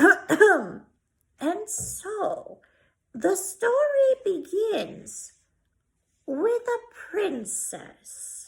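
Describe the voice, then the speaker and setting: Using a put-on character voice, a woman speaks at a very slow pace in an extremely high pitch with very wide pitch swings. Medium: read story. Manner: slow, deliberate.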